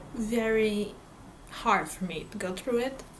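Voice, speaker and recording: A Portuguese accent with audible room echo. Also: woman. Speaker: book vlogger. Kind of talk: casual vlog talk. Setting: home in front of bookshelves. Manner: halting.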